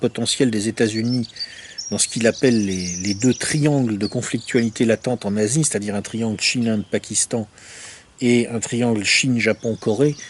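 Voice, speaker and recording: A man speaks at a medium pitch while noticeable noise runs in the background. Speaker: essayist reviewing a book. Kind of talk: book review monologue. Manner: hesitant, many filler words.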